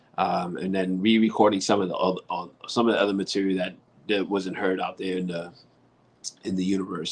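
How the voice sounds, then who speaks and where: Speaking with a New York accent, a man talks at a very fast pace. His pitch is very deep and low. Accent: heavy New York. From New York City. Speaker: rock musician and author. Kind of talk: casual interview.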